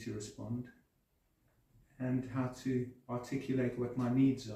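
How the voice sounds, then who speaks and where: Dark, mellow tone, somewhat breathy. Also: man. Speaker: Alexander technique client with Parkinson's. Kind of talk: interview testimony. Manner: halting with stammers.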